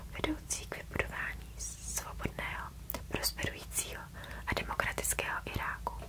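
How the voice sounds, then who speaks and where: A woman whispering at a moderate pace amid noticeable background noise. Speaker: ASMR creator. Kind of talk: ASMR reading of official statements. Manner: whispered.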